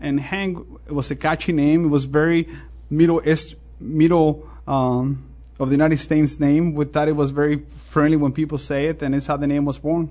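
In a quiet background, a man with a Mexican accent speaks at a moderate pace in a fairly high voice, dark and mellow in tone, with monotone, flat intonation. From Mexico. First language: Spanish. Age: 40s. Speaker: restaurant owner. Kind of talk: interview. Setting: studio.

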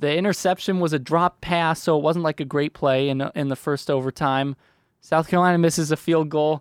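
On a very clean recording with a silent background, a man with a fairly high pitch and a normal speaking voice talks at a fairly quick pace with fairly even intonation. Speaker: football beat reporter. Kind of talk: casual chat. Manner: wry, joking.

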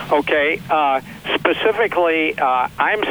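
A fairly high-pitched man with an American accent, over noticeable background noise. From US Midwest, Missouri (St. Louis). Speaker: physician and author. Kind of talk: interview.

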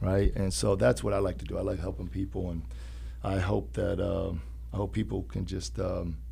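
A man with an American accent speaks at a very deep, low pitch in a dark, mellow tone with vocal fry. His pitch swings very widely, and the room echo is audible. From Urbana, Illinois. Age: young. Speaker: personal trainer. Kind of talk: interview.

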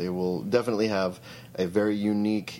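At a fairly quick pace, a man with a dark, mellow tone speaks in an American accent with ordinary pitch variation. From Eastern Idaho. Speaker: musician. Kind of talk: interview. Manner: halting.

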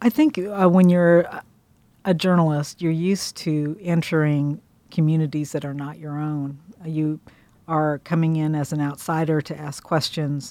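A woman's very deep, low voice with a Midwestern American accent, dark and mellow in tone, with fairly even intonation at a fairly slow pace. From Kansas. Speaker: food writer. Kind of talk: interview.

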